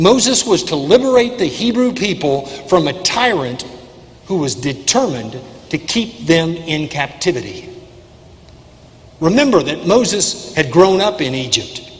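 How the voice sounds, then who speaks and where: A man talks at a moderate pace in a high pitch with very wide pitch swings. Noticeable background noise runs underneath. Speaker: preacher delivering a sermon. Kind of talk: church sermon, preaching to a congregation.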